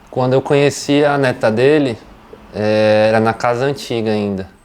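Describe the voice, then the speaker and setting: A man's medium-pitched, unremarkable speaking voice at a moderate pace, with fairly even intonation. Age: 30s. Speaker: interviewee, family member of a plant grower. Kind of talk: interview.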